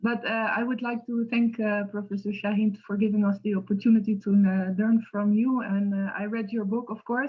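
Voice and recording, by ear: A woman speaks at a moderate pace in a medium pitch. There is little pitch movement.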